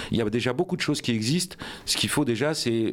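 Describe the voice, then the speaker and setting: Medium pitch and ordinary pitch movement in a man's speech. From France, Rouen (Normandy). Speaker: politician, mayoral candidate. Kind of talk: radio interview. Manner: hesitant, many fillers.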